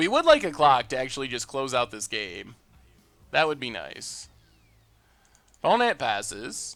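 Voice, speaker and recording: A man speaks at a fairly slow pace, with long, frequent pauses and big swings in loudness. Music plays in the background. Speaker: streamer playing a card game.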